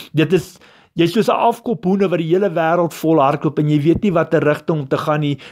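Over a silent background in a very clean recording, a man with a normal speaking voice talks at a fairly high pitch with ordinary pitch variation. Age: 40s. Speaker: lay preacher, former truck driver. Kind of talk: sermon. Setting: recorded voice note.

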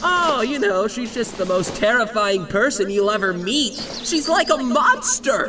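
A man speaks in a raised, projected voice at a fairly slow pace, his pitch extremely high for a man, with clear background noise. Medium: fan dub. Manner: sarcastic, whiny, braggy.

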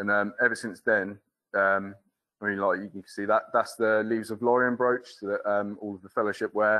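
Over a quiet background, the speaker talks at a moderate pace with monotone, flat intonation. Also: man, fairly low pitch for a man. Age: 30s. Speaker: foundry apprentice. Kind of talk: presentation. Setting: stage with audience. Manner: casual and humorous. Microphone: video call.

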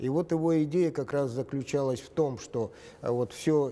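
Dark, mellow tone at a fairly slow pace. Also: man. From Yakutia, Russia (Kobyay district village). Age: 70s. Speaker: interviewed writer. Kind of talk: interview. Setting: studio. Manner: halting, many fillers. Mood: calm, reflective. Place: studio. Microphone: lapel.

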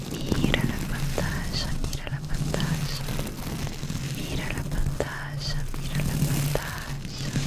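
Whispering, a soft-spoken woman talks at a very slow pace. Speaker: ASMR creator. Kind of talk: soft ASMR personal attention talk. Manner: soft close-mic whisper, repetitive. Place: home room. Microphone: studio mic.

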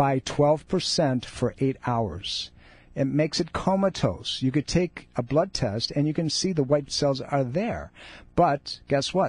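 Very slowly and somewhat breathily, a man speaks at a fairly high pitch while keeping his loudness very even. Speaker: radio host and chiropractor. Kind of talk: live radio talk show patter with promos and caller advice. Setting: radio studio. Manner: conversational, upbeat, persuasive, pitching the show and charity between segments.

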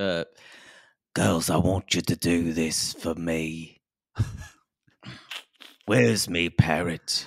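Long, frequent pauses break up a put-on character voice delivered at a very slow pace. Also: man, very deep, low pitch for a man.

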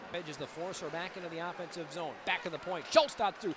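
Speaking at a fairly quick pace, a man uses a raised, projected voice. Noticeable background noise is present. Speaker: hockey play-by-play announcer. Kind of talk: live hockey commentary, play-by-play call. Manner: fast-paced, excitable, rising with each goal; emphatic, dismayed exclamations over the opposing team's goals.

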